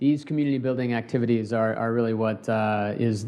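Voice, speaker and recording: Talking at a fairly quick pace, a man uses fairly even intonation at medium pitch. He speaks with a Californian accent. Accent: Californian American. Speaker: space company co-founder. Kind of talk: panel discussion. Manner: hesitant, many fillers.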